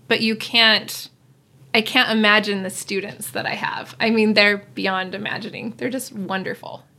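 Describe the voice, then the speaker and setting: A woman speaks at a moderate pace in a normal speaking voice. Her pitch is fairly high, and her intonation stays fairly even. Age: 30s. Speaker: special education teacher. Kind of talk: interview conversation.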